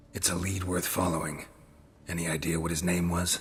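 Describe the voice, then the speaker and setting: Over clear background noise, a man does a put-on character voice that is raspy, very deep and low, flat and monotone, at a fairly quick pace. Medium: video game. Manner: terse, deadpan.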